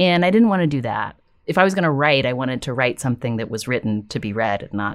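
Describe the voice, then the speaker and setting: A woman with an American accent, very wide pitch swings and a very fast pace, on a very clean recording with a silent background. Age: 40s. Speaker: podcast host and author. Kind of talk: casual interview. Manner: reflective, hesitant.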